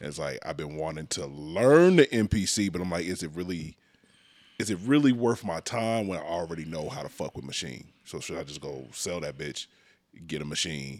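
Moving at a moderate pace with lively intonation, a man's very deep, low voice carries vocal fry on a very clean recording with a silent background. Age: 40s. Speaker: podcast co-host. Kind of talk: casual chat.

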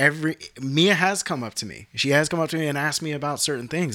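A man's bright, sharp voice at a fairly high pitch and a very fast pace, on a very clean recording with a silent background. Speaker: photographer. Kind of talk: casual chat. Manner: laughs often.

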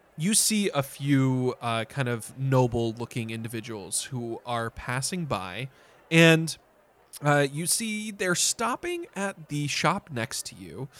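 Slow pace from a man, fairly bright tone and big pitch swings. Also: medium pitch for a man.

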